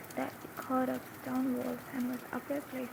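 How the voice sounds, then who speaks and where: Against noticeable background noise, a soft-spoken woman talks in a calm tone at a fairly slow pace. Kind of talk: ASMR book reading. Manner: soft-spoken, calm.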